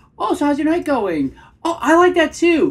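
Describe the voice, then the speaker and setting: A woman puts on a squeaky character voice with an extremely high pitch, speaking at a moderate pace. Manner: eager to please.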